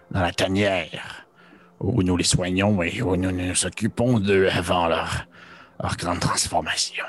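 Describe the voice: A man puts on a character voice that is guttural, with a menacing tone. The pitch is very deep and low, and the pace is fairly slow.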